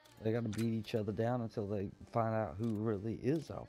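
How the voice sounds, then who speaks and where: Music plays in the background as a man speaks. His pitch is fairly low and his pace moderate. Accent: Southern US. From Florida panhandle (Crestview area). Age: 40s. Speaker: gaming streamer. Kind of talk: casual chat.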